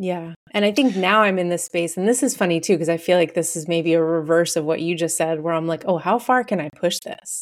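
A woman with an unremarkable speaking voice and fairly low pitch talks at a fairly quick pace with hardly any pauses and ordinary pitch variation. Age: 40s. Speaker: therapist. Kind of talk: casual chat.

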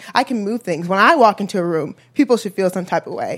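With a normal speaking voice and an American accent, a woman talks fairly quickly at a medium pitch with lively intonation. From Chicago. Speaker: apartment resident. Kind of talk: personal story at live event. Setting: coffee shop with live audience.

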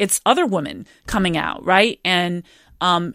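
On a very clean, dry, close recording with a silent background and no echo, a woman speaks at a medium pitch. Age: 40s. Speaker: novelist. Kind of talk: interview. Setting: studio. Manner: hesitant, many fillers.

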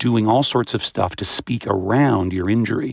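The man's voice sits at a fairly low pitch. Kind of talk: interview. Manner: low-pitched, reduced melody.

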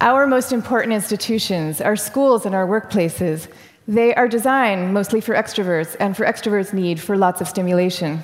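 In a normal speaking voice, a woman talks at a fairly quick pace and medium pitch with ordinary pitch variation. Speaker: author on introversion. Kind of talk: interview.

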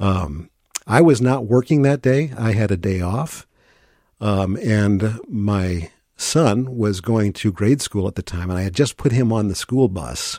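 A man's fairly low, dark, mellow voice at a fairly slow pace with lively intonation, in a very clean recording with a silent background. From St. Louis, Missouri. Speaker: radio newscaster. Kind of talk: radio interview. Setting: studio.

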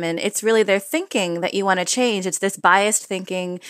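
Speaking at a very fast pace with an American accent, a woman at medium pitch uses ordinary pitch variation, the sound dry and close with no echo. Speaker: author and advice columnist. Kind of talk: interview.

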